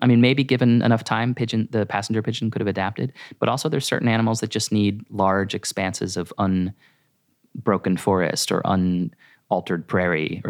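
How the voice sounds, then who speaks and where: In a normal speaking voice with an American accent, a man talks at a fairly quick pace with fairly low pitch and ordinary pitch variation, the sound dry and close with no echo on a very clean recording with a silent background. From US Northeast, rural Maine. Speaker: naturalist and environmental educator. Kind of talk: casual interview.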